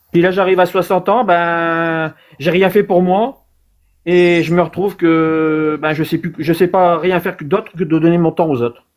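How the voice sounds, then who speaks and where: A man's high-pitched voice, fairly slow and fairly even in intonation, on a very clean recording with a silent background. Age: 50s. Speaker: caller. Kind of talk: testimony. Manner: halting.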